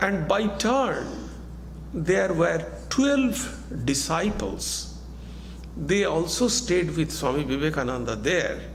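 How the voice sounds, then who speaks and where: Noticeable background noise and audible room echo surround a man speaking at a very slow pace. His loudness stays very even, broken by long, frequent pauses. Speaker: monk and spiritual teacher. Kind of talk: lecture.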